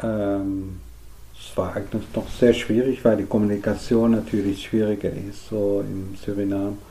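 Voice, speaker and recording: In a Dutch accent, a man speaks at a fairly slow pace with flat, monotone intonation. His tone is dark and mellow. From Netherlands. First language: Dutch (speaking German). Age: 50s. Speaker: artist. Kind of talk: interview. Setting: artist's studio worktable. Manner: halting.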